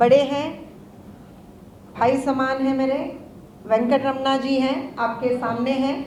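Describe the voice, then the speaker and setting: A woman speaks at a high pitch with monotone, flat intonation and long, frequent pauses. Noticeable background noise and audible room echo fill the recording. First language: Telugu (speaking Hindi). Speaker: organisation office-bearer. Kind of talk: public speech. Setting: stage with audience. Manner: halting.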